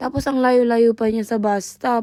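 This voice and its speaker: Recorded very cleanly against a silent background, a woman with a dark, mellow tone speaks at a fairly quick pace in a dry, close sound with no echo. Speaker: vlogger, care worker. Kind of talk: vlog voice-over narration. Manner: varying tone across recording; casual, chatty.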